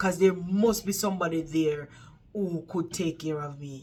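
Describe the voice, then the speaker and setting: A woman speaks in an animated tone with a Jamaican accent. Her pitch is fairly low. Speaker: vlogger, care worker. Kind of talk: casual storytelling vlog.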